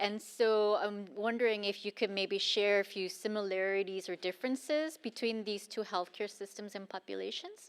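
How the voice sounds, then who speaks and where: A woman talks at a moderate pace with hardly any pauses. Her pitch is medium, with ordinary variation. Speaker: panel moderator. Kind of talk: panel Q&A moderation. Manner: loud.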